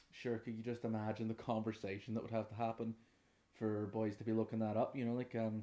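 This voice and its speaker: A man speaks very fast in a Northern Irish accent, his pitch medium. His tone is dark and mellow, and his intonation stays flat and monotone. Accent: Derry Northern Irish. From Northern Ireland, Derry. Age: 20s. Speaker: podcast host, musician and trainee music teacher. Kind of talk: casual unscripted monologue. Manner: relaxed, rambling.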